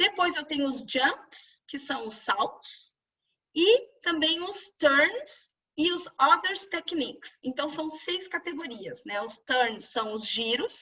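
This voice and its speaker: At a very slow pace, a woman talks in an extremely high pitch, with very wide pitch swings and big swings in loudness. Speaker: dance teacher. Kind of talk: webinar lecture. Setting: online webinar.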